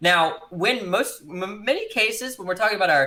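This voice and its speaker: This man speaks at a fairly quick pace. His pitch swings very widely. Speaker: conversation guest. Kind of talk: debate-style casual discussion. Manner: halting, many false starts.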